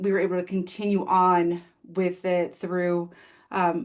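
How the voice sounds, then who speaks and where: A woman's medium-pitched, monotone voice with flat intonation against a quiet background. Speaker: occupational therapist presenter. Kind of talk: webinar presentation and Q&A.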